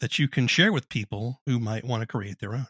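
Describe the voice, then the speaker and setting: A man's unremarkable speaking voice at medium pitch and a fairly quick pace, dry and close with no echo, in a very clean recording with a silent background. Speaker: podcast host and writer. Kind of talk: interview.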